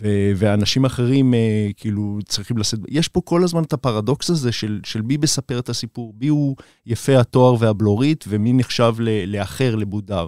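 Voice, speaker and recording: A man with a dark, mellow tone talks with ordinary pitch variation and hardly any pauses. The recording is very clean, with a silent background and a dry, close sound with no echo. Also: medium pitch for a man, moderate pace. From Israel, Beersheba. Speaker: documentary director. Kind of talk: interview. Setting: studio.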